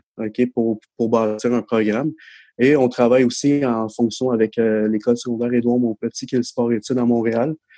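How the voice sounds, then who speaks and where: A man's medium-pitched voice with a dark, mellow tone, fairly slow in pace, in a dry, close sound with no echo and a very clean recording with a silent background. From Quebec. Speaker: baseball centre manager. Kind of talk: casual chat.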